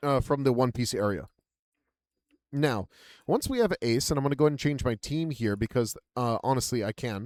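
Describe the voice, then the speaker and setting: In a dry, close sound with no echo, a man at a medium pitch talks at a fairly quick pace, with long, frequent pauses and ordinary pitch variation. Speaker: gaming YouTuber. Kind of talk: game tutorial. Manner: fast; casual, filler-heavy.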